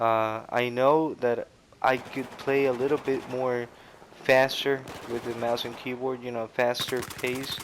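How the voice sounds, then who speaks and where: A man speaks at a medium pitch and a fairly slow pace, his intonation flat and monotone, with noticeable background noise behind him. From Costa Rica. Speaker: gaming commentator. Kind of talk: gameplay commentary. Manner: halting, many fillers.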